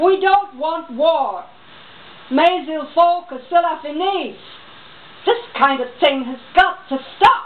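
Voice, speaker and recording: The speech moves at a very slow pace, with long, frequent pauses. Its intonation is lively and its loudness swings widely. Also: woman, extremely high pitch for a woman. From New York. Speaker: voice-over artist; reader. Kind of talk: reading aloud. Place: home room. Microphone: camera far.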